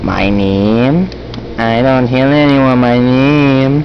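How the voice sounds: Delivered very slowly in a put-on character voice at a low-to-middle pitch, the speech has clear background noise behind it.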